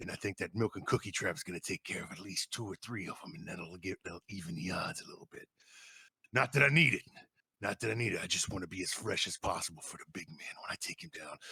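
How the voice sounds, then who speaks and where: A man's put-on character voice, fairly low in pitch, at a very fast pace. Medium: actual play.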